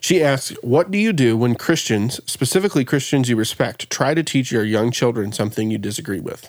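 With hardly any pauses, a man with an unremarkable speaking voice talks at a fairly quick pace, his medium pitch carried by lively intonation. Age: 30s. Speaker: podcast host. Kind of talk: casual chat.

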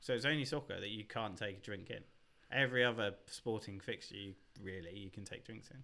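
A man with a southern English accent speaks with ordinary pitch variation. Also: fairly low pitch for a man, fairly quick pace, big swings in loudness. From southern England. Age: 30s. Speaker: podcast guest. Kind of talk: casual chat.

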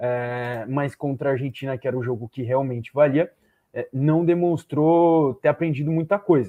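Here is a man with a plain, everyday voice. He talks at a moderate pace, fairly high-pitched, with ordinary pitch variation. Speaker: football analyst. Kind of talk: live panel discussion.

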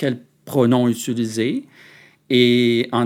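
The recording is very clean and the background silent. A man's voice sits at a medium pitch. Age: 50s. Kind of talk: interview. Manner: halting.

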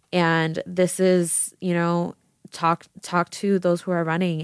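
A woman with an American accent uses a plain, everyday voice at a fairly low pitch with fairly even intonation, in a very clean, dry, close recording with no echo and a silent background. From Las Vegas, Nevada. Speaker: student body vice president, podcast co-host. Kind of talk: casual chat.

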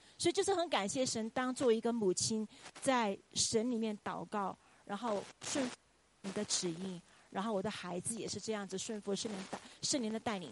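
A woman with an unremarkable speaking voice talks at a moderate pace, her pitch fairly high and its variation ordinary. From China, Chongqing. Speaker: Chinese language professor. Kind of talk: testimony. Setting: church.

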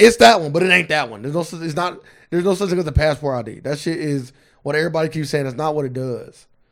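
A man talks at a very fast pace with a fairly high pitch. His loudness swings widely, while his pitch varies in an ordinary way. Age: 20s. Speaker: podcast co-host. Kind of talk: casual chat.

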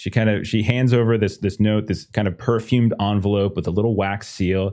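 Over a quiet background, a man speaks fairly quickly in a fairly low pitch, with a dark, mellow tone and a monotone, flat intonation. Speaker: game master. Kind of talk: actual-play tabletop roleplaying game, casual chat. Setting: live stream.

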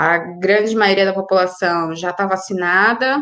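The speaker is a woman with a medium pitch. She talks at a fairly slow pace with fairly even intonation. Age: 30s. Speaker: foreign correspondent. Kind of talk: casual discussion. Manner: halting.

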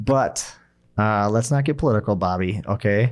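On a very clean recording with a silent background, a man with a Minnesotan accent speaks at a fairly slow pace. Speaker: podcast co-host. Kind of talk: casual chat.

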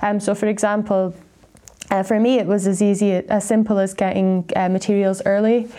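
Over noticeable background noise, a woman of medium pitch talks at a moderate pace in a monotone, flat intonation, her loudness very even. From Scotland, Aberdeen. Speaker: PhD researcher. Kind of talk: interview. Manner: hesitant, with fillers and repeated words.

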